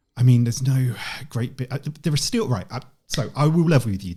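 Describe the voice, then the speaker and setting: A man with a British accent has a somewhat breathy, dark, mellow tone on a very clean recording with a silent background. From UK. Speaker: online event organiser. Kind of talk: podcast interview.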